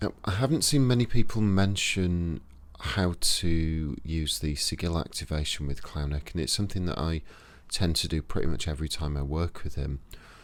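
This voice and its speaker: A man with a very deep, low pitch and a Yorkshire accent, talking at a moderate pace with ordinary pitch variation, in a very clean recording with a silent background. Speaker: occult practitioner, YouTuber. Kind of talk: tutorial. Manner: casual, conversational.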